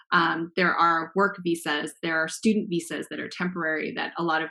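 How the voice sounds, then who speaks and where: A woman with an American accent talks at a moderate pace. Her pitch is fairly low and her tone bright and sharp. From Los Angeles, US. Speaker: guest speaker. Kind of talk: panel Q&A discussion.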